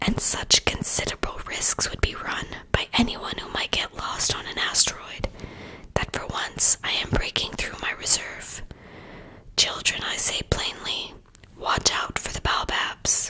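The speaker is whispering at a fairly slow pace. The voice is soft-spoken. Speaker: reader of a children's book. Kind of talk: audiobook read-aloud. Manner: soft ASMR whisper reading aloud.

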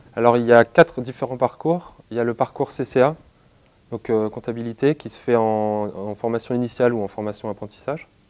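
The delivery comes at a moderate pace with fairly even intonation. Loudness swings widely. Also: man. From western France, Nantes; western France. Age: 20s. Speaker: university student. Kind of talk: interview; interview answer. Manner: halting, with frequent hesitations. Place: office. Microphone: lapel.

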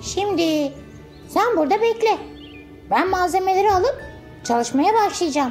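In a cartoonish character voice at an extremely high pitch, the speaker talks at a moderate pace with clear music in the background. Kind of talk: children's story character acting. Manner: warm, encouraging, gently wise.

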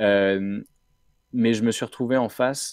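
In a very clean recording with a silent background, a man talks with fairly even intonation. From France, Brittany (Rennes). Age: 30s. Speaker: nonprofit co-founder, entrepreneur. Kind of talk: interview. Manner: hesitant, many fillers.

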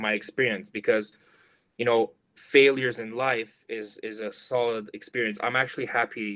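At a moderate pace, a man with a medium-pitched, fairly bright voice speaks with fairly even intonation.

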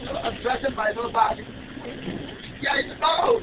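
Shouting at a moderate pace, a woman with a strong non-native accent and a high pitch is heard over noticeable background noise. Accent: thick foreign. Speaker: bus passenger. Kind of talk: angry public rant. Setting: city bus, low-quality phone recording. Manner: agitated, shouting. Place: bus. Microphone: camera far.

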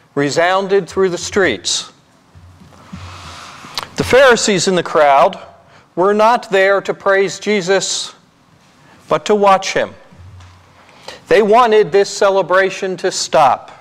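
A high-pitched man at a very slow pace, long, frequent pauses, and music in the background. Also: ordinary pitch variation. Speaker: priest. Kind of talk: sermon. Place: church. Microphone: podium.

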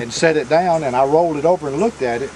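The voice is a man's, with light background noise. The sound is dry, with no echo. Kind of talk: interview answer. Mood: amused, animated storytelling. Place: garden.

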